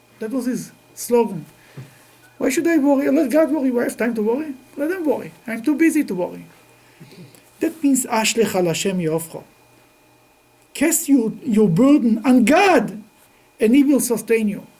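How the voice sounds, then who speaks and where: This man's pitch is extremely high, and his intonation is lively at a moderate pace broken by long, frequent pauses. The room echo is audible, with noticeable background noise. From Russia, then Israel. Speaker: rabbi teaching a class. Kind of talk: religious lecture. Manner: halting.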